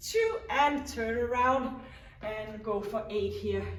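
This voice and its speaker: The speaker is a woman, talking very slowly. Her words carry audible room echo. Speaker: fitness instructor. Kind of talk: workout instruction. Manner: self-described mumbling.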